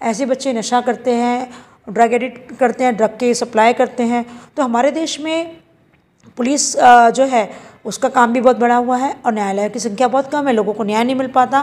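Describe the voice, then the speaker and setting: A woman's voice sits high in pitch with fairly even intonation. She keeps a moderate pace. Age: 50s. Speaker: animal welfare activist. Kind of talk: news interview.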